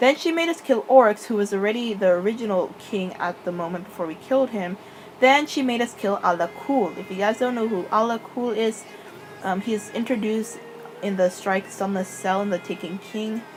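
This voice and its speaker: Music plays behind a woman of fairly high pitch who mumbles at a moderate pace. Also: ordinary pitch variation. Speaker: gaming lore youtuber. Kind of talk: casual commentary, unscripted. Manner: mumbling; halting.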